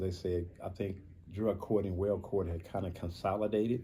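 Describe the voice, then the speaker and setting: A man speaks with a very deep, low pitch and a dark, mellow tone that is somewhat breathy. His intonation stays monotone and flat, with audible room echo around him. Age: 60s. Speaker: man in addiction recovery. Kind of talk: personal testimony in interview. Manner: halting with many fillers.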